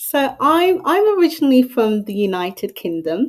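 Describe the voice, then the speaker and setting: With pitch that swings very widely, the delivery keeps a moderate pace. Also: woman. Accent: British. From Southeast London, England. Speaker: mental health advocate. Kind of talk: interview conversation.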